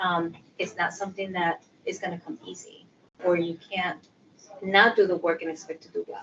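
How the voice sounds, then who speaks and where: Her loudness swinging widely, a woman with a Spanish accent and medium pitch speaks at a fairly quick pace with fairly even intonation and long, frequent pauses. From Puerto Rico. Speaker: sociology professor and social worker. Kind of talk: interview. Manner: many fillers (um).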